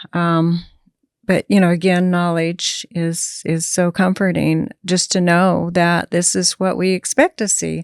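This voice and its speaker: A woman with a fairly low pitch speaks at a fairly slow pace in monotone, flat intonation, with a dry, close sound with no echo and a quiet background. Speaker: end of life doula, former hospice nurse. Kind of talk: interview conversation. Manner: matter of fact.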